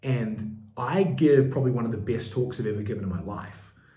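Here a man with a medium pitch and ordinary pitch variation talks at a fairly quick pace. Both audible room echo and noticeable background noise come through. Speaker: business coach. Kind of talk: tutorial.

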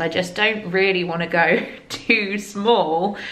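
A woman speaks with fairly even intonation and a fairly bright tone, with audible room echo around her voice.

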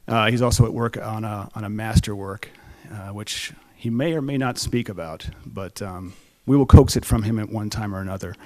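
Moderate pacing from a male speaker. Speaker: event host. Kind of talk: stage introduction. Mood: warm, lightly humorous. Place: stage. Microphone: podium.

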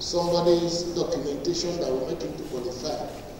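Amid strong room echo and light background noise, a man speaks at a moderate pace. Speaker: presenter. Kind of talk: lecture. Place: hall.

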